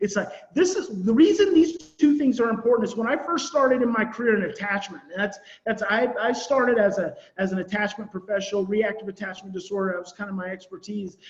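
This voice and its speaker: A man with a voice high in pitch rattles along at a very fast pace, his intonation lively, while noticeable background noise carries on. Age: 40s. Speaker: parenting and attachment trauma expert. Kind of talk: online conference presentation. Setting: virtual conference.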